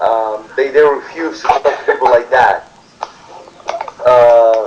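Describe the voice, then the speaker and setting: Over noticeable background noise, a man speaks very slowly in a Spanish accent with ordinary pitch variation. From Peru. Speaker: immigrant worker interviewee. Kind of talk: interview. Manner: halting.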